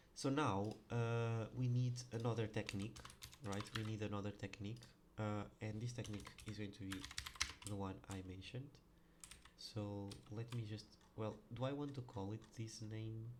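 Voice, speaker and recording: Speaking with a non-native accent, a man with a fairly low pitch talks at a moderate pace in fairly even intonation, pausing long and often amid noticeable background noise. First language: not English. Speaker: programmer. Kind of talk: coding tutorial. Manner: halting, many fillers; casual.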